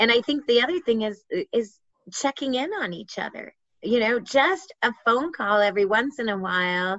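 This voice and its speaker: Her voice fairly high, a woman speaks at a moderate pace with lively intonation. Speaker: patient advocate. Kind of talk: interview. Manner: loud; animated.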